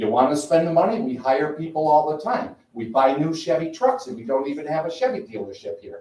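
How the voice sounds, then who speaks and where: Speaking at a fairly quick pace with hardly any pauses, a man with an American accent uses a fairly high pitch and very wide pitch swings. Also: big swings in loudness. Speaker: resident speaking at public comment. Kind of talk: public comment at town meeting. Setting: town board meeting. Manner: loud; animated.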